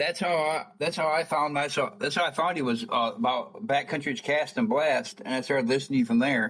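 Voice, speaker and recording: A man with a normal speaking voice talks at a fairly quick pace and a fairly high pitch. His intonation is lively and his loudness very even. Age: 40s. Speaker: podcast host. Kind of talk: casual interview chat.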